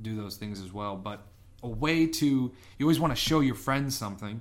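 A man's fairly quick delivery, with ordinary pitch variation, comes in an ordinary speaking voice. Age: young. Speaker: podcast co-host. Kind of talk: casual chat.

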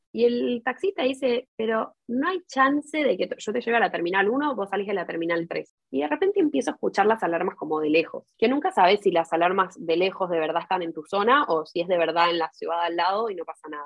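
A woman talks at a fairly quick pace with hardly any pauses. Her medium-pitched voice makes very wide pitch swings. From Argentina, Buenos Aires. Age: 20s. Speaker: university student and language school worker. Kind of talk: interview.

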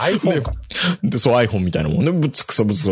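A man talks at a medium pitch. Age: middle-aged. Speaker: podcast host. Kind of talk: casual chat. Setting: video call.

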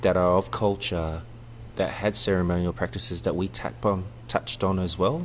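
Speaking at a fairly quick pace, a man with a very deep, low pitch shows vocal fry and lively intonation. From New Zealand (Samoan heritage), raised also in Australia. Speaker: circus director and performer. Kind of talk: interview. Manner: halting.

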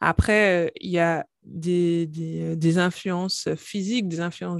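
A woman speaks with a plain, everyday voice at a fairly low pitch with fairly even intonation. The sound is dry and close with no echo, against a quiet background. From Guadeloupe. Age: 30s. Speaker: pharmacist and company founder. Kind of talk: interview, testimony and health explanation.

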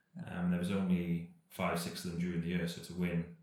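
A man talks at a moderate pace. Audible room echo surrounds his voice. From Wales, Cardiff. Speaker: professional cyclist. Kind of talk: casual chat.

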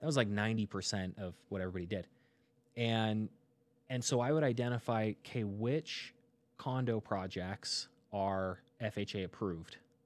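A fairly low-pitched male voice with ordinary pitch variation at a moderate pace, in a very clean recording with a silent background. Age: 20s. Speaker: real estate agent. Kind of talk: interview. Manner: halting.

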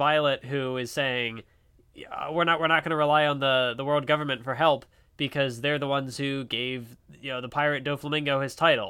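The speaker is a man with a plain, everyday voice. His pitch is fairly high, and his pace is moderate. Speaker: podcast co-host. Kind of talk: casual chat.

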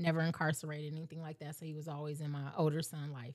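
Her intonation is monotone and flat. This woman's pitch is very deep and low. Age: 40s. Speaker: tax business owner. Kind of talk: casual chat.

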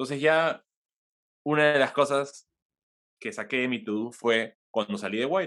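A man talks at a fairly slow pace with a fairly high pitch and lively intonation. He leaves long, frequent pauses. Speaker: innovation executive and podcaster. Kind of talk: interview.

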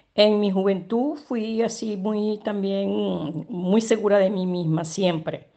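A woman's medium-pitched voice in a Caracas accent, at a very slow pace. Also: ordinary pitch variation, hardly any pauses. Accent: Venezuelan Spanish (Caracas). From Venezuela, Caracas. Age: 70s. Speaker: retired chemical engineer and consultant, migrant. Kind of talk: interview testimony. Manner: hesitant, many fillers.

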